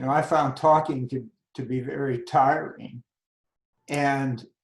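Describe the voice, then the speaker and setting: His voice sits fairly high and sounds somewhat breathy, and the man speaks fairly slowly. Loudness swings widely. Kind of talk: interview answer.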